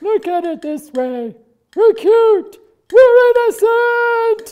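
A put-on character voice, extremely high in pitch, at a very slow pace

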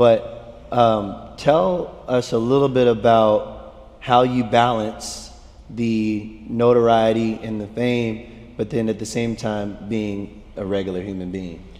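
A man's very slow speech with fairly even intonation. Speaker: church youth leader. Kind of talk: sermon. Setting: stage with audience. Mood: relaxed, warm, light humor. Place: stage.

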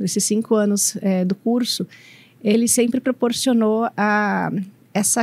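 Speaking at a fairly slow pace, a woman lets her pitch vary in an ordinary way. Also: dry sound with no echo. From Brazil, São Paulo state. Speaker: operations manager at a machinery company; speaker. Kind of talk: talk interview at a university congress. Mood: friendly, calm. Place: studio. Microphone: studio mic.

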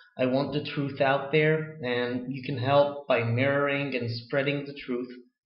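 A man speaks at a fairly slow pace with an American accent, his intonation flat and monotone. The room echo is audible, though the background stays quiet. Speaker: video blogger. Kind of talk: casual chat. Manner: halting. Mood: earnest, defiant, relaxed delivery. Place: home room. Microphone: webcam.

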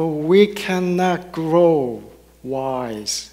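Over a quiet background, a man speaks at a high pitch with ordinary pitch variation. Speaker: minister giving a sermon. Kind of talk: sermon to a congregation. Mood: warm, gentle. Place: church. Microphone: headset.

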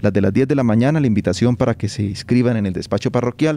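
A man's dark, mellow voice with ordinary pitch variation. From Colombia, Onzaga (Santander); Santander, Colombia. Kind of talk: interview. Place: street. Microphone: handheld.

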